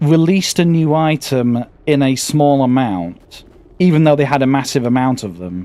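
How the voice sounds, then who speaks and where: Talking at a moderate pace, a man with a British accent uses a fairly high pitch and ordinary pitch variation. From Britain. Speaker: gaming streamer. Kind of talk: casual gameplay commentary. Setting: live stream. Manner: halting, stammering.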